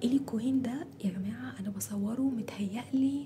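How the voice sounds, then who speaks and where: Fairly slow delivery from a woman, her pitch variation ordinary. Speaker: ASMR and storytelling YouTuber. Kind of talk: casual vlog talk to viewers. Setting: at home, recording at dawn. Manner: trying to speak softer; animated.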